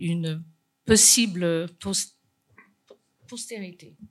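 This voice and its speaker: A woman speaks with a Chinese accent. Her pitch varies in an ordinary way. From China. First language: Chinese (speaking French). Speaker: painter. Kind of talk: conference talk. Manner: halting, many repetitions.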